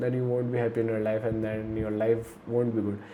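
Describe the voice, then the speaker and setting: There is audible room echo around this man. His tone is dark and mellow. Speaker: motivational youtuber. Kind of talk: casual monologue. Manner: halting.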